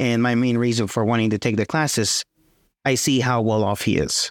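With an American accent and an unremarkable speaking voice, a man speaks at medium pitch and a moderate pace in a dry, close recording with no echo. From West Texas / southeast New Mexico. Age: 20s. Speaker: student. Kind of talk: casual interview.

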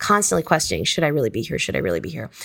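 There is vocal fry in this woman's voice. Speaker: author. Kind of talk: interview.

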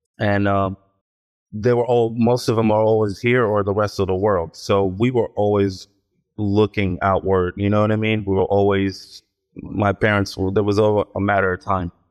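A man with an American accent speaks at a fairly low pitch in a monotone, flat way, his loudness very even, with a dry, close sound with no echo and a quiet background. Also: moderate pace. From Israel (Ashdod), later US. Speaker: actor. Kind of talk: interview.

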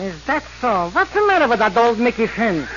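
A man's put-on character voice, extremely high-pitched with big pitch swings, vocal fry and a fairly bright tone, at a fairly quick pace over faint background noise.

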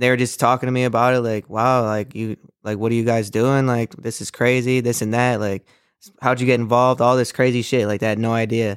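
This man has an ordinary speaking voice at medium pitch, talking at a fairly quick pace in a very clean recording with a silent background. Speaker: podcast co-host. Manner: excitable, profane.

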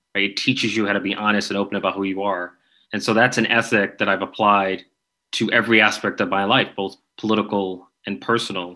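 The speaker talks very fast in an American accent, with a bright, sharp tone and monotone, flat intonation. The background is quiet. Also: man, fairly low pitch for a man. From New York City, the Bronx. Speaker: congressman-elect. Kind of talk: interview.

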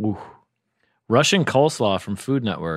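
A man speaks in a normal speaking voice at a moderate pace, with lively intonation. The sound is dry and close with no echo, on a very clean recording with a silent background. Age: 40s. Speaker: comedy writer. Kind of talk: casual chat.

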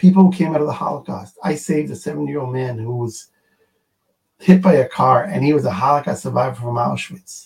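The voice moves at a fairly quick pace with lively intonation, a somewhat breathy quality and a dark, mellow tone. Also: man. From Israel, Jerusalem. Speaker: emergency medical organization founder. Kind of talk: interview.

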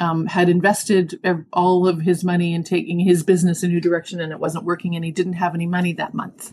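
A somewhat breathy woman's voice in a Canadian accent, flat and monotone. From Canada, Toronto. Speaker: executive coach. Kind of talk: interview.

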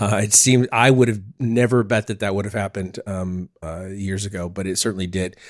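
A man with a General American accent and a plain, everyday voice speaks at a fairly low pitch and fairly quick pace, with hardly any pauses. His intonation is fairly even, and the recording is very clean with a silent background. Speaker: podcast host. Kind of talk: casual chat.

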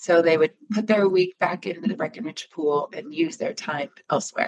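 A woman with an American accent uses a normal speaking voice, fairly low in pitch, at a moderate pace with ordinary pitch variation. The sound is dry and close, with no echo. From Michigan. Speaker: timeshare marketing executive. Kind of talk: interview.

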